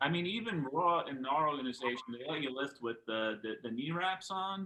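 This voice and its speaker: Speaking with an American accent, a man uses a fairly high pitch and ordinary pitch variation at a fairly slow pace. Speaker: powerlifter. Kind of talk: podcast conversation.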